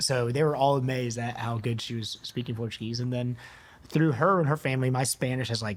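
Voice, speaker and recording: A man with an American accent, medium pitch, a fairly quick pace, and a normal speaking voice. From US South, East Tennessee. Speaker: physician (ENT). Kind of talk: casual interview chat.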